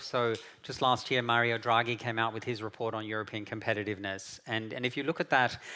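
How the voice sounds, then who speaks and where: Bright and sharp in tone, a man with an Australian accent speaks at a medium pitch on a very clean recording with a silent background. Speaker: keynote speaker from an international policy organization. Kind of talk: conference keynote talk. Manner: halting, many fillers and repetitions.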